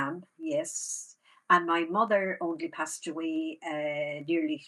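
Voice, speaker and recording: A bright, sharp tone in a Waterford Irish accent, with ordinary pitch variation. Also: woman. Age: 70s. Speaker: rural theatre manager. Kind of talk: casual interview chat.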